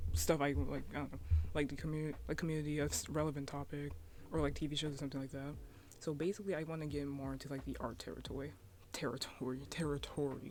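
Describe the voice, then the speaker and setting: The voice is soft-spoken. It moves at a very fast pace. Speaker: YouTuber, cartoon artist. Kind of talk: casual vlog talk. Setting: at home. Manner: halting.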